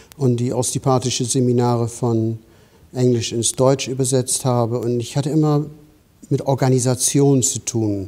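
In monotone, flat intonation, a man talks at a moderate pace. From England. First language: English (speaking German). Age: 60s. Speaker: osteopathy teacher. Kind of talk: interview. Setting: studio. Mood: calm, reflective. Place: studio. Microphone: lapel.

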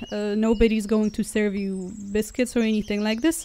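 At a moderate pace, a woman is talking. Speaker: travel vlogger. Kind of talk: casual vlog chat. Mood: relaxed, lightly humorous. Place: car. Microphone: phone near.

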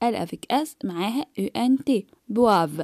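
A woman with an Egyptian accent speaks very slowly at a high pitch with very wide pitch swings, in a very clean recording with a silent background and a dry, close sound with no echo. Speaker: French teacher. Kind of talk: tutorial.

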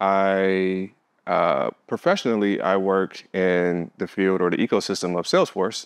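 A man with an American accent, fairly low in pitch, monotone and flat in intonation, at a fairly slow pace. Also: quiet background. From Detroit, Michigan, US; Michigan. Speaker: visual artist; interviewee. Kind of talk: interview. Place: hall.

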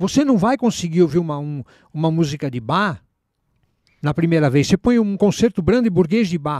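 A man talks at a fairly quick pace with very wide pitch swings. The sound is dry and close, with no echo. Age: 60s. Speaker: new age musician. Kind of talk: casual chat.

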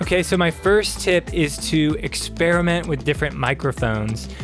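Clear music sits in the background while a man speaks with a dry sound and no echo. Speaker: presenter. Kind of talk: tutorial. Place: studio. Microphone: studio mic.

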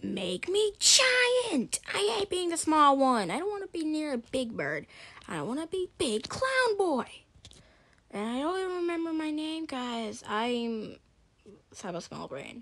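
This cartoonish character voice is high-pitched and moves at a fairly slow pace. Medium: puppet show. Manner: whiny, hot-tempered.

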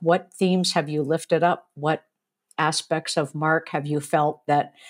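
A woman's ordinary speaking voice, fairly low-pitched, with fairly even intonation and a fairly slow pace against a quiet background. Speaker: professor, podcast co-host. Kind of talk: discussion commentary. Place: home room. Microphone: earbuds.

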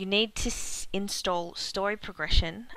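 A woman with an Australian accent, at a moderate pace, with ordinary pitch variation, on a very clean recording over a silent background. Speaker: gaming video creator. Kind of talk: game tutorial narration.

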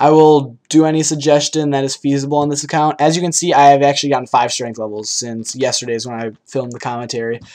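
A man speaks at a very fast pace with a fairly high pitch and hardly any pauses. His intonation stays fairly even while his loudness swings widely. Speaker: gaming YouTuber. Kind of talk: gameplay commentary. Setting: home recording.

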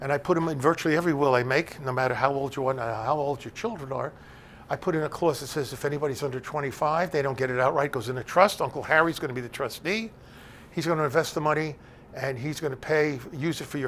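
A man with an American accent talks at a very fast pace in a fairly high voice with ordinary pitch variation. Light background noise runs underneath. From New Jersey (Bergen County). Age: 70s. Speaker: elder law attorney. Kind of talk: lecture. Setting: stage with audience. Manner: conversational, with many filler words. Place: classroom.

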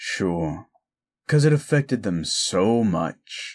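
A man puts on a character voice at a medium pitch, speaking at a very slow pace. The recording is very clean against a silent background. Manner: sarcastic.

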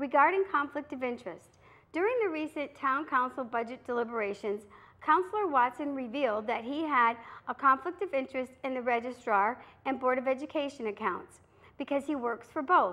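A woman's raised, projected voice with a bright, sharp tone. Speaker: local TV commentary host. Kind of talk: prepared political commentary. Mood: earnest, critical. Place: studio.

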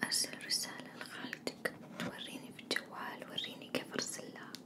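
Soft-spoken words come through against loud background noise. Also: woman. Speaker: role-play host. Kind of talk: ASMR role-play chat. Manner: soft close ASMR voice, mildly annoyed mother.

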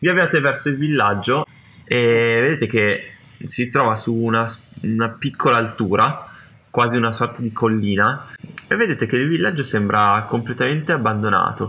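A man speaks at a moderate pace with ordinary pitch variation and long, frequent pauses. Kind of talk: role-play narration. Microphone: video call.

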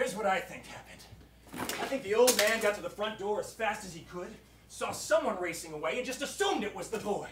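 A man talks at a very fast pace. The room echo is audible, and there is light background noise. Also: ordinary pitch variation. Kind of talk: theatrical comic performance, voicing several characters. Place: stage. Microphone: camera far.

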